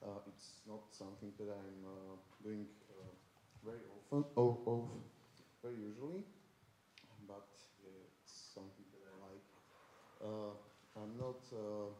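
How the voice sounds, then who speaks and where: Amid audible room echo, a man speaks very slowly in a dark, mellow, fairly low-pitched voice with monotone, flat intonation. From Košice, eastern Slovakia. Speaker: art student, animator. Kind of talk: self-introduction. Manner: halting, many fillers.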